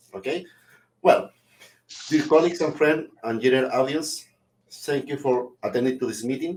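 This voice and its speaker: At a moderate pace, a man with a fairly high pitch and ordinary pitch variation talks with long, frequent pauses. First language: Spanish. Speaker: webinar host, microbiology researcher. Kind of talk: formal opening remarks for a webinar. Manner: halting, with many repetitions and fillers.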